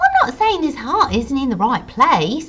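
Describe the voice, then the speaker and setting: A female-sounding put-on character voice, raised and projected, speaks at a high pitch and a moderate pace. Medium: read story. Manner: brisk, clipped.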